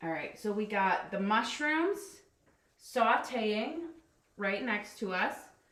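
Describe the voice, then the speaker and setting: Speaking very slowly with long, frequent pauses, a woman uses lively intonation in a space with audible room echo. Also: fairly high pitch for a woman. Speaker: life coach cooking on a livestream. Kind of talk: live cooking demonstration. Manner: loud; casual, chatty.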